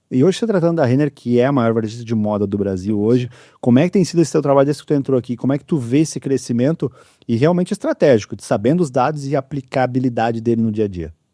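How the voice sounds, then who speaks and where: A man's medium-pitched, dark and mellow voice with lively intonation at a very fast pace, recorded dry and close with no echo against a quiet background. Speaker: podcast host. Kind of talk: podcast interview.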